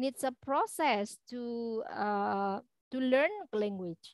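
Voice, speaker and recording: Lively intonation marks this woman's voice, captured with a dry, close sound, no echo and a very clean, silent background. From East Java, Malang. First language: Javanese (speaking Indonesian). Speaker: university lecturer. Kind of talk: lecture. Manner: halting, many fillers.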